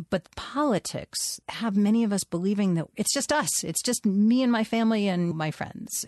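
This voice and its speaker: A woman with an unremarkable speaking voice moves at a fairly quick pace, her intonation lively, over a quiet background. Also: dry, close sound with no echo. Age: 50s. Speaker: writer. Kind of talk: interview.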